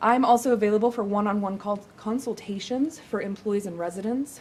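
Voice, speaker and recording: A woman speaks in a medium pitch at a fairly quick pace. Her voice is somewhat breathy. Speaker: city mental health program coordinator. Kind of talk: presentation at a council meeting.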